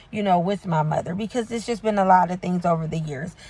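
Somewhat breathy, a woman's voice comes through in a dry sound with no echo. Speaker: faith coach and preacher. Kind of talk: preaching, prophetic exhortation. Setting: solo video recording. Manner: fervent, urgent, rhythmic repetition; hesitant, filler-heavy. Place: car. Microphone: phone near.

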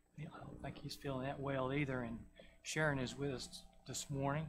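A man speaks at a moderate pace with a Southern US accent. Noticeable background noise runs behind him. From US South. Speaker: church lay leader. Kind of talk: church announcements. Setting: church. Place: church. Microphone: podium.

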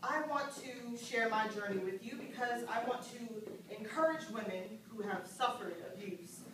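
A woman speaks with ordinary pitch variation. Audible room echo and noticeable background noise accompany her. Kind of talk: dramatic monologue to an audience. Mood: earnest, serious. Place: stage. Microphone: camera far.

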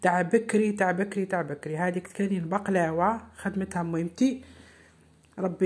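Medium pitch from a woman, somewhat breathy, at a moderate pace with fairly even intonation. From eastern Algeria. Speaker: home cooking vlogger. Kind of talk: vlog narration.

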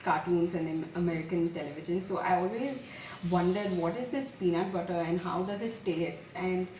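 With music behind her and audible room echo, a woman speaks at a fairly low pitch and a moderate pace. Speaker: home cooking vlogger. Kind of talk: casual vlog chat. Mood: playful storytelling. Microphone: camera far.

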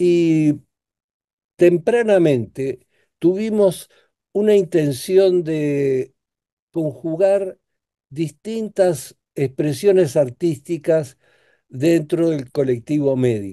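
Over a quiet background, a man talks at a very slow pace. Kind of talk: interview answer. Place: home room. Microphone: video call.

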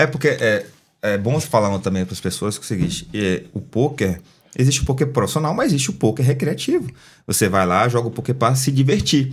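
Somewhat breathy and very fast, a man talks with lively intonation. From Bahia, Brazil (Feira de Santana); Bahia, Brazil. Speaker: poker player and former footballer; podcast guest. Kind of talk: casual chat. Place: studio. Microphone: studio mic.

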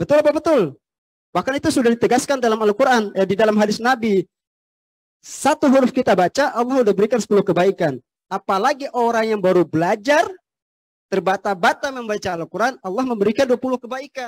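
A man with a high pitch talks at a very fast pace. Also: quiet background. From Tidore, North Maluku, eastern Indonesia; North Maluku, Indonesia. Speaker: former film actor and preacher; former film actor, preacher. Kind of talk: religious talk. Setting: mosque with large congregation. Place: hall. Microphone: handheld.

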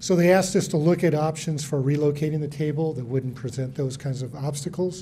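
A man talks at a fairly quick pace. Light noise sits in the background. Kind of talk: public meeting presentation. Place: hall.

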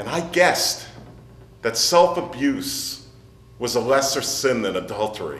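Reading aloud in a natural voice, the speaker keeps the intonation lively.

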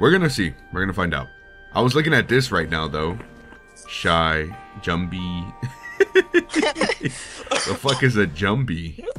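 Music plays behind a man with a fairly low voice. He talks at a very slow pace, his pitch swinging very widely. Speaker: voice actor. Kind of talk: casual gaming commentary. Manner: casual, excitable.

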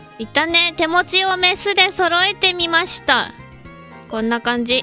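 A woman with an extremely high pitch speaks in a raised, projected voice at a fairly slow pace. Her intonation is lively, and music plays in the background. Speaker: voice actor. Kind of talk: casual video game let's play commentary. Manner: upbeat, excited.

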